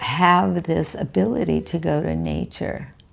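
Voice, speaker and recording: A woman talks at a very slow pace with a very deep, low pitch and lively intonation. Noticeable background noise is present. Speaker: spiritual teacher. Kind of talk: spiritual teaching talk.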